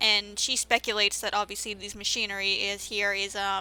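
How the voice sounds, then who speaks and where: Her tone bright and sharp, a woman speaks at a moderate pace with lively intonation. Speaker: video game let's play commentator. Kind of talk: gameplay commentary. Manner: halting, stutters and fillers; casual, conversational.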